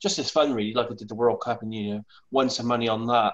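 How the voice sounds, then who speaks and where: A man with a British accent at medium pitch and a very fast pace, with fairly even intonation and a quiet background. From UK. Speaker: remote viewer. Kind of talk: casual video chat. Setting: video call. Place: home room. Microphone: lapel.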